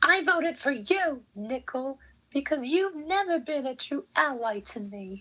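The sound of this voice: This put-on character voice is pitched high. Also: moderate pace.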